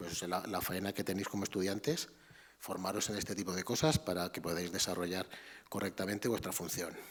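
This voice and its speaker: Quiet and very deep, a man talks fairly quickly with ordinary pitch variation. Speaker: art history professor. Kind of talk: lecture. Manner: halting.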